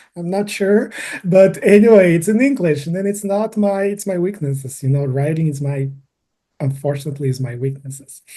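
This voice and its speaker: A man with a Brazilian Portuguese accent, high-pitched, with lively intonation. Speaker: environmental engineering PhD. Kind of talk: casual interview. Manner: halting.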